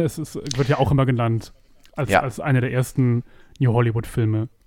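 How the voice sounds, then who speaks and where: Fairly even intonation marks this moderate-paced speech. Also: man. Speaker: film podcast co-host. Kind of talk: casual chat.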